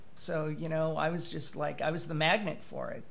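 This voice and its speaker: There is audible room echo around this man's voice. He speaks at a high pitch. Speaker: writer sharing personal story. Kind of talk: interview testimony. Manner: halting, many fillers.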